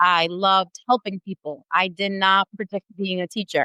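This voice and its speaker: A woman with an Italian accent speaks at a medium pitch. Her tone is bright and sharp, and the sound is dry and close with no echo. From Italy, moved to US at 13. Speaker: English as a new language teacher. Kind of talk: podcast interview.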